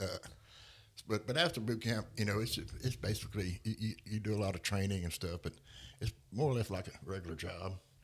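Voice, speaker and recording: A man with a Louisiana accent speaks at a fairly quick pace, with vocal fry and a fairly low pitch. He uses ordinary pitch variation and takes long, frequent pauses. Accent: US Southern (Louisiana). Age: 60s. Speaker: Marine veteran. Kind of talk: interview. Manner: halting, many repetitions and fillers.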